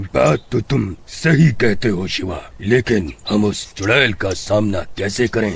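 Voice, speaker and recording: In a cartoonish character voice, a man speaks at a fairly slow pace with ordinary pitch variation over light background noise. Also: fairly low pitch for a man. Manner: measured, authoritative.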